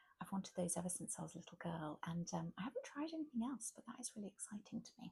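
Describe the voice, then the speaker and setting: A woman talks at a very fast pace in a somewhat breathy voice with a dark, mellow tone. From England. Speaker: ASMR content creator and mother. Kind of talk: ASMR shopping chat to camera. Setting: quiet room at home, late at night. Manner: gentle, soft-spoken, rambling.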